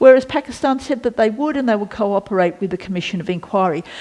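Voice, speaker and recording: Someone with an Australian accent speaks with lively intonation over noticeable background noise. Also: woman. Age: 60s. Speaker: former senator. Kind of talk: interview. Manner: halting.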